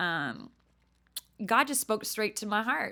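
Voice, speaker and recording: An animated woman with an American accent and a bright, sharp tone speaks at a fairly slow pace with lively intonation, on a very clean recording with a silent background. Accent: Southern, sometimes thick. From Texas, near Dallas. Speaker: podcast host. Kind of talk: casual monologue. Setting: room with friends present.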